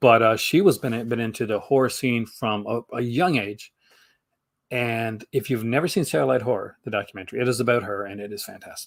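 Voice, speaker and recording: A man with a Canadian accent, medium pitch, ordinary pitch variation and a fairly quick pace. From Canada. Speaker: horror film channel host. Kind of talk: casual chat. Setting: live stream. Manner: fast.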